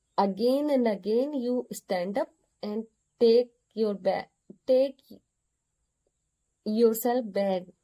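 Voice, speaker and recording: Very slow speech with an Indian accent and long, frequent pauses. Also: woman, fairly high pitch for a woman, ordinary pitch variation. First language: Hindi. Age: 30s. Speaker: vlogger learning English. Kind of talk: personal monologue to camera. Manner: halting, repeating words.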